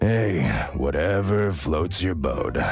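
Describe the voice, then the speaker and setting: A man puts on a raspy character voice with a very deep, low pitch, and background noise is clearly audible. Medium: fan dub. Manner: casual, sarcastic.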